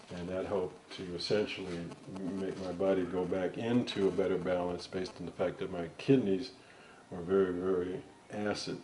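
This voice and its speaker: Amid noticeable background noise and audible room echo, a man with a very deep, low pitch speaks at a moderate pace in fairly even intonation. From New York City (Bronx). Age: 60s. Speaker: interviewee giving health testimonial. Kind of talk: interview testimony. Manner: casual, hesitant.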